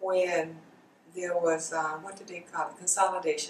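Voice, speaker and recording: Noticeable background noise fills the clip. A woman talks with a South Carolina accent. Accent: Southern US, South Carolina. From US South, Darlington, South Carolina. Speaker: college alumna, oral history interviewee. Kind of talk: oral history interview.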